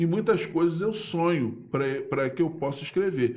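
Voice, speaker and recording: A man with a fairly high pitch talks with audible room echo. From Brazil, Pau Grande (Magé, Rio de Janeiro state). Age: 60s. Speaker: local writer and political commentator. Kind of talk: casual live interview. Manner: halting, repetitive.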